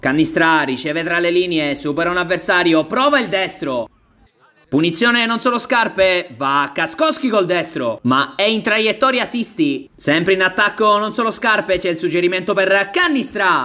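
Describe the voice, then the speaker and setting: A raised, projected voice with lively intonation moves along at a moderate pace. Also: man, high pitch for a man. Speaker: sports commentator. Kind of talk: live sports commentary. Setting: five-a-side pitch.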